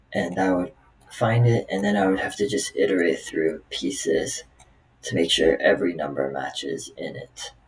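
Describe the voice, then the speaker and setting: Noticeable background noise runs under this recording. A man talks at a moderate pace. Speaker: software developer practicing coding problems. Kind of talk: live coding tutorial, thinking aloud. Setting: recording at home on laptop with webcam. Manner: halting, many fillers.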